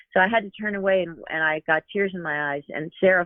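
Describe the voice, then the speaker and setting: In an ordinary speaking voice, a woman moves along at a fairly quick pace with fairly even intonation. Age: 60s. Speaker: author and therapist. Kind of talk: casual chat. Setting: studio.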